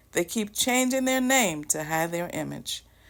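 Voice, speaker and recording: Using an ordinary speaking voice, a woman with an American accent talks at a medium pitch with lively intonation. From US South, South Carolina. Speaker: channel host, commentator. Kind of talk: prepared monologue. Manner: formal.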